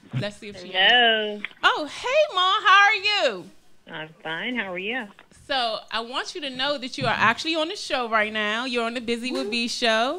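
A woman speaks at a moderate pace. Her loudness swings widely. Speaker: radio show host. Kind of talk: casual on-air chat. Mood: warm, affectionate. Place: studio. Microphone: studio mic.

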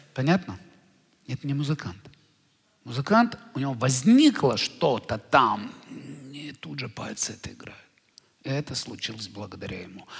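Over a quiet background, a man at a medium pitch speaks at a moderate pace, with very wide pitch swings, big swings in loudness and long, frequent pauses. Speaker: spiritual teacher, lecturer. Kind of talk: lecture. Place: hall. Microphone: headset.

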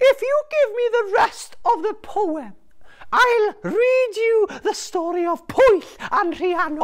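The speaker uses a put-on character voice with an extremely high pitch, delivered at a fairly slow pace. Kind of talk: children's storytelling. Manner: teasing, bargaining.

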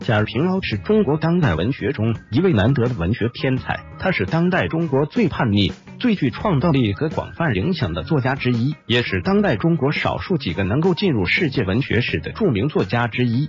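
A man speaks at a moderate pace and a medium pitch, with very wide pitch swings and hardly any pauses. His loudness stays very even over music in the background. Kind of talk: narrated article read.

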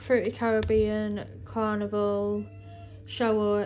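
A woman talks at a very slow pace. Behind her voice, music plays. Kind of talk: casual vlog chat. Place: kitchen. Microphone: phone near.

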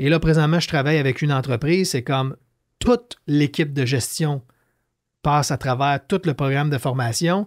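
The speech moves at a moderate pace with ordinary pitch variation over a quiet background. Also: man, fairly high pitch for a man. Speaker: entrepreneur, leadership author; podcast guest. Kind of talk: casual interview. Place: studio. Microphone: studio mic.

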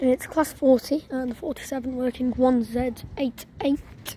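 Against light background noise, a woman with a high voice speaks very slowly with fairly even intonation, the sound dry with no echo. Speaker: trainspotter vlogger. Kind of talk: casual commentary. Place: station. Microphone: phone near.

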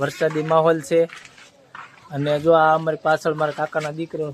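This man's intonation is monotone and flat, with noticeable background noise in the recording. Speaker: family vlogger. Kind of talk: casual vlog narration.

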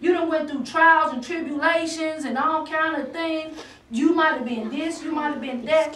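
A woman with an extremely high pitch speaks with fairly even intonation. Audible room echo surrounds her voice. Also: moderate pace. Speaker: guest preacher. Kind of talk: sermon.

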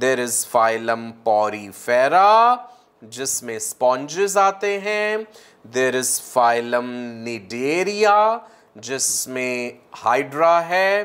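This man speaks with lively intonation. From India. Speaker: online biology teacher for medical entrance exam. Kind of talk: live online lecture. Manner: animated.

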